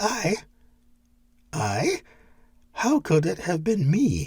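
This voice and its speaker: Someone puts on a character voice at a middle pitch, speaking at a very slow pace. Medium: read story.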